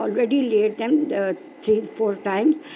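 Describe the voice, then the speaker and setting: Noticeable background noise behind a woman's fairly high voice, moderate in pace, with lively intonation. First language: not English. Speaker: craft video maker. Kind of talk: craft tutorial. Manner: halting, many fillers.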